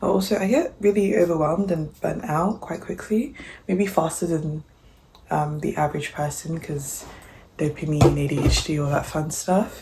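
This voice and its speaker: A woman at a fairly low pitch and moderate pace, with ordinary pitch variation and noticeable background noise. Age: 20s. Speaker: vlogger. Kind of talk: vlog voiceover. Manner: low energy; casual, filler-heavy.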